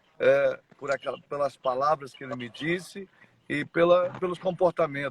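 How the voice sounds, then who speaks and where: The sound is dry and close, with no echo. A man speaks at a fairly high pitch with ordinary pitch variation. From Brazil, Mato Grosso do Sul (Dourados). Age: 40s. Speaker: church member sharing life story. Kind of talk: testimony. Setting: live stream. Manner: halting.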